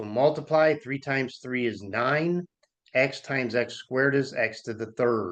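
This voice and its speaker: An unremarkable speaking voice from a man, medium in pitch, fairly slow, with ordinary pitch variation. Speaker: math instructor. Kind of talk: tutorial.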